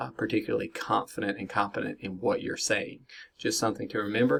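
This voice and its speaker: With an American accent, a man delivers his words. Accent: Southern US, strong but reduced. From US South. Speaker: business educator. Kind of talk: lecture. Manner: many fillers (uh, um).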